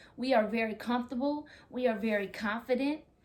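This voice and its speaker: Loud and animated, a woman speaks in a high pitch with ordinary pitch variation. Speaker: vlogger talking with spouse. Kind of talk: casual chat.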